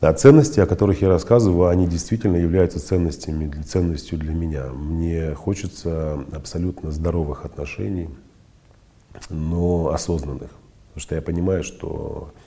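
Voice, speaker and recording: The man's voice is very deep and low in pitch. He keeps a fairly even intonation at a moderate pace. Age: 30s. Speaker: psychologist podcast host. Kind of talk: monologue, personal story.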